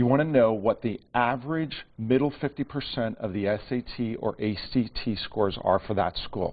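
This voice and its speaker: A man talks with hardly any pauses at a medium pitch. His pitch varies in an ordinary way. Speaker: college funding advisor. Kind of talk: TV interview. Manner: fast.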